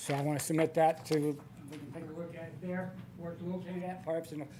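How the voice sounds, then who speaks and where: The voice belongs to a man, high in pitch with ordinary pitch variation. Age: 70s. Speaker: public commenter, local resident. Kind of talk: public comment at council meeting. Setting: city council meeting. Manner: casual, halting.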